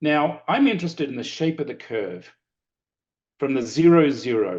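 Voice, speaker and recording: Over a quiet background, a man with an Australian accent talks at a moderate pace with lively intonation. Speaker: lecturer and former consultant. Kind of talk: webinar presentation.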